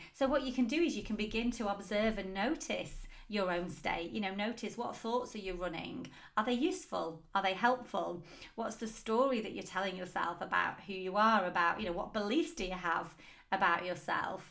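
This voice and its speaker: A woman with a medium-pitched voice talks in a room with audible echo. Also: lively intonation, moderate pace. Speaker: business coach and podcast host. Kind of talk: solo podcast talk.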